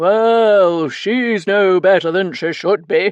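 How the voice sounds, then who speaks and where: A man performs a put-on character voice, pitched high. He goes at a very slow pace with ordinary pitch variation. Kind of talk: posh, theatrical. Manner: declaring dramatically.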